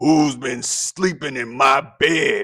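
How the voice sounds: A put-on character voice, gruff and growling. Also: man.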